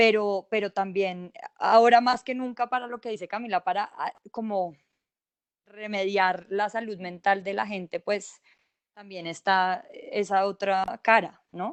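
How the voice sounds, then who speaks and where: A woman speaks at a fairly slow pace with an unremarkable speaking voice, medium in pitch. Her intonation stays fairly even, and the sound is dry and close with no echo. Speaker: journalist. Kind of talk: panel discussion.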